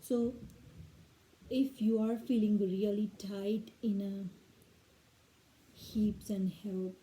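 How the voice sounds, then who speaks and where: A woman with a non-native accent speaks at a very slow pace and a fairly high pitch, in a monotone, flat intonation. Her tone is dark and mellow, and somewhat breathy. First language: not English. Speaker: yoga teacher trainee. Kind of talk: guided yoga class. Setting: at home. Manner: reading from a script; hesitant, with fillers.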